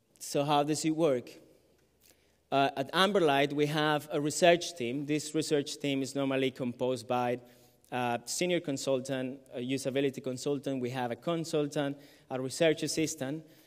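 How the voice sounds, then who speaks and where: With a Colombian accent, a man speaks at a moderate pace, using a fairly high pitch and fairly even intonation. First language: Spanish. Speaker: illustrator and graphic facilitator. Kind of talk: conference talk. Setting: stage with audience. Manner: hesitant, many fillers.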